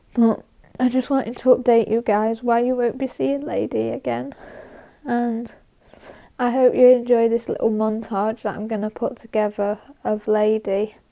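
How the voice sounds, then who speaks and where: A woman speaks at a moderate pace with a fairly high pitch, a dark, mellow tone and fairly even intonation. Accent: British. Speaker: horse-riding vlogger. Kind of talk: personal vlog update. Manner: halting.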